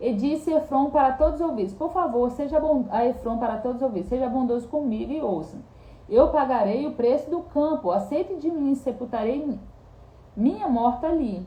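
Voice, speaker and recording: A woman's high voice with lively intonation at a moderate pace, over noticeable background noise. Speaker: bible teacher. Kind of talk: bible study reading and commentary. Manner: halting, self-correcting.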